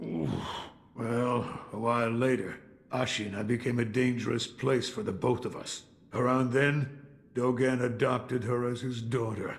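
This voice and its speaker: Using a put-on character voice, a man of medium pitch speaks in a weary tone with fairly even intonation. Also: moderate pace. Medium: video game. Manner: gruff, weary, reflective.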